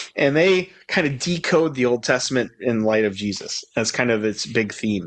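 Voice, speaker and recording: With lively intonation, an unremarkable speaking voice proceeds at a moderate pace. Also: man, medium pitch for a man. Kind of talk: conversational Bible study with scripture reading. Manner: casual, with many fillers and restarts.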